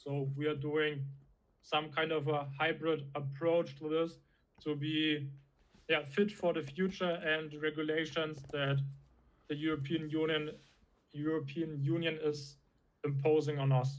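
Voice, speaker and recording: Speaking with a German accent, a man with a fairly high pitch goes at a fairly slow pace in a monotone, flat intonation, leaving long, frequent pauses. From Germany. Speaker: crypto startup founder. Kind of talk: interview. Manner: halting.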